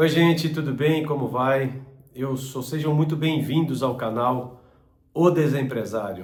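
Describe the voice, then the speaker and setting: The speaker is somewhat breathy, with ordinary pitch variation and a fairly slow pace, and there is audible room echo. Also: man, medium pitch for a man. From southern Brazil, Joinville, Santa Catarina. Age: 50s. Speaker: business channel host, former business owner. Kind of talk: personal introduction monologue.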